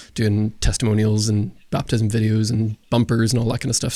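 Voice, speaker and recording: The tone is dark and mellow. Intonation stays monotone and flat. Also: man. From Northern Ireland. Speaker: youth pastor and filmmaker. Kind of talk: podcast interview. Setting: church basement room. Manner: casual, hesitant with fillers.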